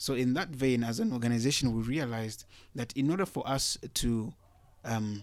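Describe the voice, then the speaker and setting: A plain, everyday voice: a man at medium pitch and moderate pace. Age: young. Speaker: youth health organization representative. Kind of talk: interview. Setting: studio.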